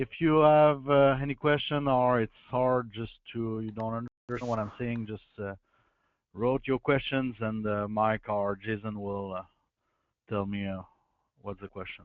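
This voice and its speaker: A man with a French accent at a moderate pace, ordinary pitch variation throughout. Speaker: guest presenter, agricultural drainage contractor. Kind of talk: webinar presentation. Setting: online webinar.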